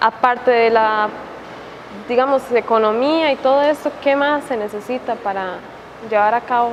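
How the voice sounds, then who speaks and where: A woman talks at a fairly slow pace in a high voice with fairly even intonation and long, frequent pauses. Noticeable background noise runs underneath. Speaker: journalism student interviewer. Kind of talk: interview.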